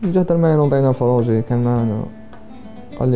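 Over clear background music, a man speaks at a fairly quick pace. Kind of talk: interview answer. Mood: relaxed, smiling. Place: home room.

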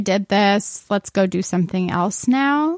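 A woman with a plain, everyday voice, medium pitch and ordinary pitch variation at a fairly slow pace, in a dry, close sound with no echo and a very clean recording with a silent background. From Arizona, Phoenix area. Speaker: newspaper features editor. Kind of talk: casual interview chat.

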